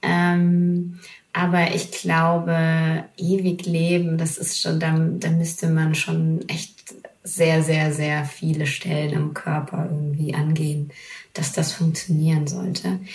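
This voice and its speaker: A woman's fairly low voice at a very slow pace, monotone and flat, with noticeable background noise and audible room echo. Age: 30s. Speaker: TV reporter. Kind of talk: casual chat. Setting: remote call from home office.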